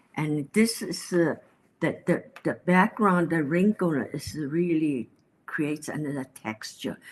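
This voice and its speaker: A woman with a Chinese accent, very deep and low in pitch, lively in intonation, at a fairly slow pace. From China. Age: 80s+. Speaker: painter. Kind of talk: interview. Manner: halting.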